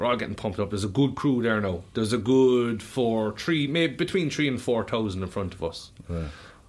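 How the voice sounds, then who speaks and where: A man with a Cork accent at a moderate pace. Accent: Cork Irish. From Ireland. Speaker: musician and bar owner. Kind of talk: casual chat; announcement.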